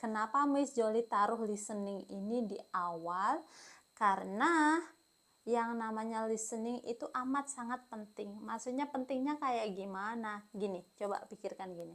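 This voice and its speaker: A woman with a fairly high pitch takes a fairly slow pace, her pitch moving in an ordinary way. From Indonesia, Kediri (East Java). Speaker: English teacher. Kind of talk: tutorial. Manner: casual, conversational.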